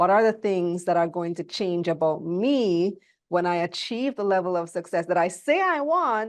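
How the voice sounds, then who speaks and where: In a Belizean accent, a woman speaks at a medium pitch and a moderate pace with ordinary pitch variation. The background is quiet. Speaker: motivational speaker on wealth. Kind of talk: interview.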